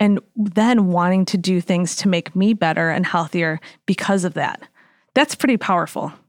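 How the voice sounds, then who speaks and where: A woman's medium-pitched, plain, everyday voice with an American accent, at a moderate pace with ordinary pitch variation and very even loudness, dry and close with no echo, on a very clean recording with a silent background. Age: 40s. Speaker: dietitian and health coach. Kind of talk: casual chat.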